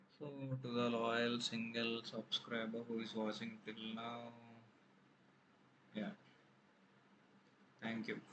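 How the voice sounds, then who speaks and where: A man talks very slowly at a medium pitch, his intonation monotone and flat. Long, frequent pauses stand out against noticeable background noise. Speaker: artist drawing on video. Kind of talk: casual drawing commentary. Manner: self-conscious, hesitant.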